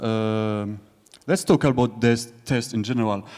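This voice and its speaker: In a French accent, a man speaks at a fairly slow pace and medium pitch. His tone is dark and mellow, with fairly even intonation. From France. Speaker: conference speaker, software developer. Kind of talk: conference talk. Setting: stage with audience. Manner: halting.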